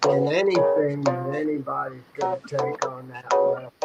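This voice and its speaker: Music in the background behind a fairly high-pitched male voice. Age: 60s. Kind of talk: casual group chat on live stream.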